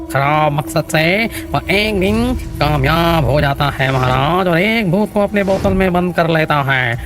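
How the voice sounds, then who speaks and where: At a middle pitch, a cartoonish character voice plays out over loud music in the background. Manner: deferential, keeps saying "maharaj".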